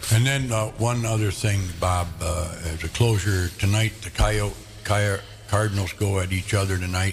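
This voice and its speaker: A fairly low-pitched man with an American accent, moderate pace and fairly even intonation, plus noticeable background noise. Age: 70s. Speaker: radio show host. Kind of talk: casual chat.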